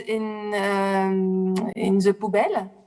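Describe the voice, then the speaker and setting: A woman with a French accent. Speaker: film festival juror. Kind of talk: panel discussion. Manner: halting, many hesitations.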